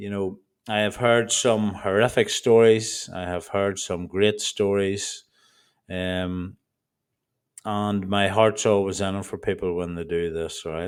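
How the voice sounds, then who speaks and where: With an Irish accent, a man of fairly low pitch speaks at a fairly slow pace in a flat monotone, recorded very cleanly against a silent background. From Ireland. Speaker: trading educator. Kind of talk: tutorial. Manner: deliberately slow; passionate.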